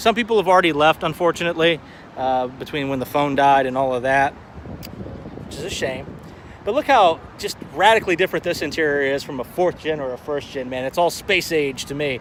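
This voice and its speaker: A man at a fairly quick pace with ordinary pitch variation, noticeable background noise behind him. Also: fairly high pitch for a man. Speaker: car show vlogger. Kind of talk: live stream walkaround commentary. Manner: fast; casual, hesitant fillers.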